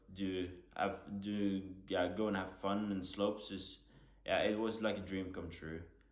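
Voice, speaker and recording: At a fairly slow pace, a man talks in a flat monotone with audible room echo. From western Norway. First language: Norwegian. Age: 20s. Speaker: Paralympic skier. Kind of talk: panel talk.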